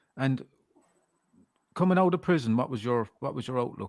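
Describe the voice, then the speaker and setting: With an Irish accent, a man talks at a fairly quick pace in a medium pitch. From Ireland. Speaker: podcast host. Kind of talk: interview.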